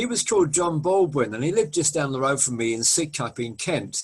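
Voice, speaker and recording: Fairly quick, somewhat breathy speech from a man pitched fairly high. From southeast London, England. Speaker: music radio host. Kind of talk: interview.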